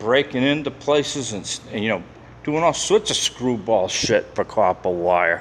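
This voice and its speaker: Speaking at a moderate pace, a man with a medium-pitched voice swings his pitch very widely and lets vocal fry creep in. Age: 60s. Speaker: security guard and cleaner. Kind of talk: casual vlog narration while walking. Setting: inside an industrial building at night. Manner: conversational, rambling with repetitions.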